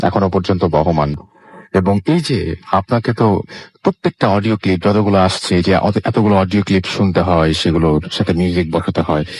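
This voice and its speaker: A man speaks with a very deep, low pitch and ordinary pitch variation. His loudness stays very even, and the sound is dry and close with no echo. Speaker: radio show host. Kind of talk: radio host interview, conversational.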